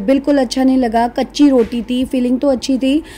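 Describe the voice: Over faint background noise, a woman speaks with fairly even intonation. Her dark, mellow tone sits at a fairly high pitch.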